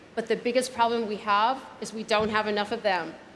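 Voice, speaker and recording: With an American accent, a woman talks at a fairly high pitch over noticeable background noise, with audible room echo. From United States. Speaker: keynote speaker, startup advisor. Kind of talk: keynote speech. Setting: gala dinner stage with audience.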